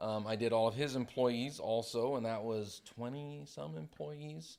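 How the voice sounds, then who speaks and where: A man with an American accent talks at a fairly slow pace and medium pitch on a very clean recording with a silent background. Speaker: retired firefighter and CPR instructor. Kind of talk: casual interview. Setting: studio.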